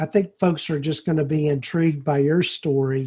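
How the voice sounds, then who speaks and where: A strong Southern accent comes through at a fairly slow pace with a dark, mellow tone. The intonation is fairly even against a quiet background. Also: man. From US South. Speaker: podcast host. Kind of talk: interview. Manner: halting, many fillers.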